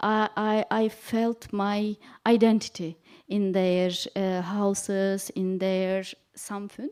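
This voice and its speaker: A woman with a non-native accent, medium pitch and a monotone, flat intonation, at a very slow pace. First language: not English. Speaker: panel speaker. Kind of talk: panel talk. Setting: public event with audience. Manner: halting.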